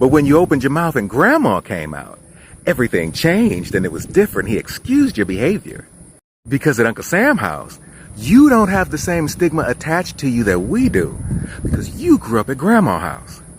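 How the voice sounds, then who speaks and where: Fairly high in pitch and full of vocal fry, a man talks at a fairly quick pace with very wide pitch swings. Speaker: social media creator. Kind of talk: explanatory monologue.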